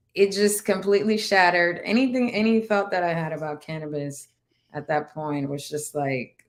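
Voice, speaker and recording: With a Spanish accent, a woman talks at a moderate pace. Her pitch is fairly low, and her intonation is lively. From Dominican Republic. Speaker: navy veteran and cannabis entrepreneur. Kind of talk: interview testimony.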